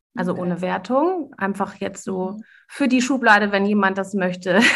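A woman's somewhat breathy, medium-pitched voice at a moderate pace, with ordinary pitch variation. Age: 40s. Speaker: coach and podcast host. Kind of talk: casual interview chat.

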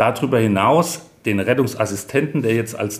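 A man speaks at a fairly quick pace in a somewhat breathy voice with ordinary pitch variation. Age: 50s. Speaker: head of emergency dispatch centre, fire service officer. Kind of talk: interview, explaining work.

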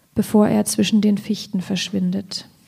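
Speaking at a fairly slow pace, a woman uses a fairly high pitch, a somewhat breathy, dark, mellow tone and monotone, flat intonation. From Thuringia, Ilmenau. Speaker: poet. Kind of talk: reading aloud; public conversation.

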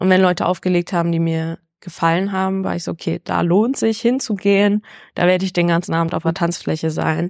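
A woman with an unremarkable speaking voice, fairly low in pitch, talks at a fairly quick pace with fairly even intonation, on a very clean recording with a silent background and a dry, close sound with no echo. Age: 20s. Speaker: freelance journalist and DJ. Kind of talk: casual interview.

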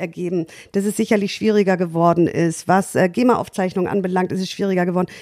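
In a very clean recording with a silent background, a woman speaks at a very fast pace with fairly even intonation. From Schleswig-Holstein, Baltic coast. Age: 40s. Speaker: club owner and entrepreneur. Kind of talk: interview.

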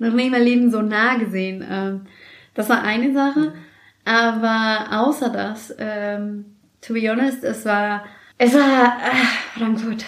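A woman speaks at a very slow pace with fairly even intonation and fairly high pitch. Audible room echo is present. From Mexico City, Mexico. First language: Spanish (speaking German). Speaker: office worker, immigrant. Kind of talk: casual interview.

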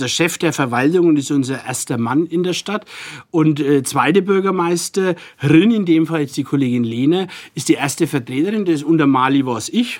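With a strong Franconian accent, a man speaks at a moderate pace in a fairly high pitch with ordinary pitch variation. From Franconia, Nuremberg. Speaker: deputy mayor, politician. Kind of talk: casual interview chat in dialect.

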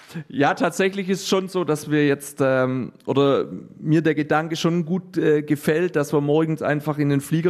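A man speaks with ordinary pitch variation. His pace is fairly slow. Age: 30s. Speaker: handball coach and teacher. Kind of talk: interview. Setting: sports hall. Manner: halting, many fillers.

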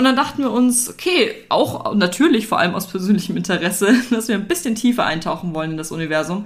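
Very fast with hardly any pauses, a woman talks at a medium pitch with very wide pitch swings. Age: 20s. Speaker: podcast co-host, student and blogger. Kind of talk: casual chat.

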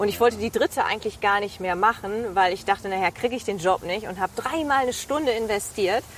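A woman speaks at a very fast pace with lively intonation. Noticeable background noise runs underneath. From East Frisia, northern Germany. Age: 30s. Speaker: TV presenter and reporter. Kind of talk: casual interview. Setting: outdoors, walking in a city park.

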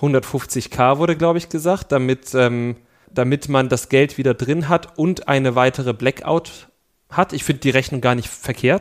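A man talks at a medium pitch and a moderate pace, with ordinary pitch variation, in a normal speaking voice. The sound is dry and close, with no echo. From East Germany. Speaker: podcast co-host. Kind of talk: casual chat. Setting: studio.

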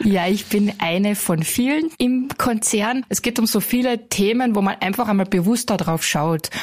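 At a moderate pace and with hardly any pauses, a woman talks at a fairly high pitch over noticeable background noise. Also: ordinary pitch variation, very even loudness. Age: 30s. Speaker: call centre team leader. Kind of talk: interview.

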